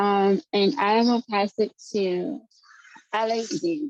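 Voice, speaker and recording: A woman speaks in a fairly high voice. The sound is dry and close, with no echo. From Virginia. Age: 30s. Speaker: patient with rare disease. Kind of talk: support group introduction.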